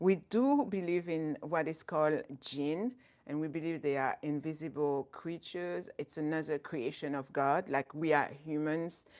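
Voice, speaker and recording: On a very clean recording with a silent background, a woman with a very deep, low pitch speaks at a fairly slow pace with hardly any pauses and ordinary pitch variation. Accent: French. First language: not English (English is third language). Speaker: Islamic educator and YouTuber. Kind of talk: live stream talk. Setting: live stream. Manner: halting, self-correcting.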